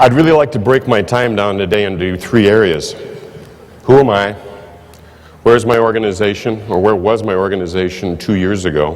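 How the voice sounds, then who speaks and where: With audible room echo and noticeable background noise, a man with a fairly low pitch and ordinary pitch variation speaks at a fairly quick pace, broken by long, frequent pauses. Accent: Midwestern American. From US Midwest, Iowa. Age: 60s. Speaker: insurance manager. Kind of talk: conference speech.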